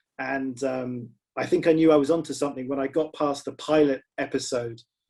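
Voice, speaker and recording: Speaking at a fairly quick pace with a British accent, a man has a fairly high pitch, a dark, mellow tone and monotone, flat intonation. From Britain. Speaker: screenwriter and novelist. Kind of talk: panel discussion. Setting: video call.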